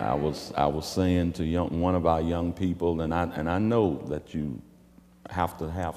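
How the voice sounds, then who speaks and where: Over faint background music, a man speaks fairly slowly at a very deep, low pitch with fairly even intonation. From United States. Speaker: preacher / church bishop; church bishop. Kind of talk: sermon to a congregation. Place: church. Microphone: lapel.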